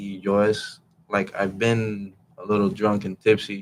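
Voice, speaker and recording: Speaking very slowly, a man keeps a flat, monotone delivery at a fairly low pitch. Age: 20s. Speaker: martial arts instructor. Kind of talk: casual chat. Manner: halting.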